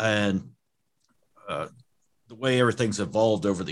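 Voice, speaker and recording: An American accent comes through. Nothing disturbs the quiet background. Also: man. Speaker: car audio shop owner.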